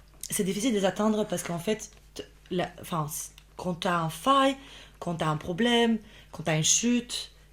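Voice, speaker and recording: A woman with a slight Albanian accent and a somewhat breathy, medium-pitched voice talks at a moderate pace, using ordinary pitch variation and long, frequent pauses. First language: Albanian (speaking French). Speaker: podcast guest, immigrant professional. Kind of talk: casual interview chat. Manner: halting, many false starts and fillers.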